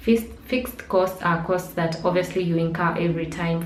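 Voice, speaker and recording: With audible room echo and noticeable background noise, a woman speaks at a fairly low pitch. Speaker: blogger and digital marketer. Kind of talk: tutorial. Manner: fast.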